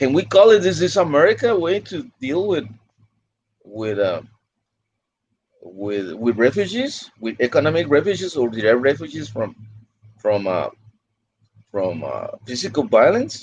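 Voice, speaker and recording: A man speaks at a fairly slow pace with long, frequent pauses, his fairly high pitch swinging very widely. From Mexico (Mexicali), partly California. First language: Spanish. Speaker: migrant rights activist. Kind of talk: livestream interview. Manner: halting, with frequent repetitions.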